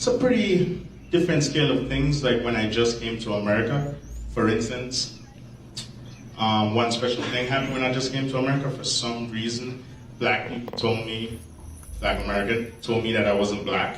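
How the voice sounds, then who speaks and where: A man with a Jamaican accent at a medium pitch and moderate pace, ordinary pitch variation, long, frequent pauses, audible room echo and noticeable background noise. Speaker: comedian. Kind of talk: stand-up.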